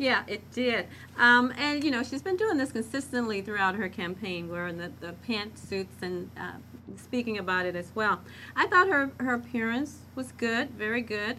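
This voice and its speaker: Here is a woman with an American accent and a plain, everyday voice. Her pace is moderate. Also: fairly high pitch for a woman, lively intonation. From US South, Arkansas. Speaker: speech coach. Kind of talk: panel discussion.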